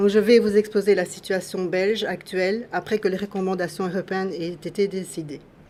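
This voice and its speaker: The speaker talks at a fairly slow pace in a monotone, flat delivery. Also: woman. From Belgium. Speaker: patient advocate. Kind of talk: formal statement at public hearing. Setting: public hearing. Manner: formal.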